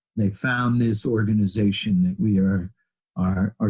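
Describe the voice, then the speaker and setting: Dry and close with no echo, a man speaks at a moderate pace in a fairly low pitch, his tone dark, mellow and somewhat breathy. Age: 70s. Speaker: physical therapist. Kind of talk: interview conversation.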